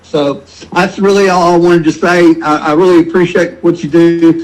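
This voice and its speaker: With a Memphis accent, a man speaks in a high pitch at a fairly quick pace, his intonation monotone and flat. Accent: Southern US (Memphis). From Memphis, Tennessee (US South). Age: 70s. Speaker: caller. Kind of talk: call-in conversation.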